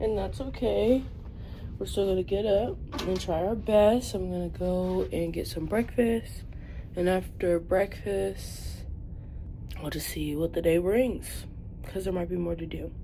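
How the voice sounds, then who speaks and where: With audible room echo, a woman talks at a fairly slow pace, leaving long, frequent pauses. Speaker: travel vlogger. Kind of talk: vlog. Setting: cruise ship; public place while editing. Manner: quiet.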